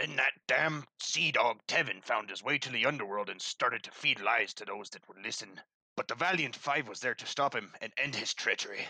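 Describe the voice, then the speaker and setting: Using a put-on character voice, a man speaks at a medium pitch with hardly any pauses. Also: moderate pace. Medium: audio drama. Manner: gruff, hearty, salty.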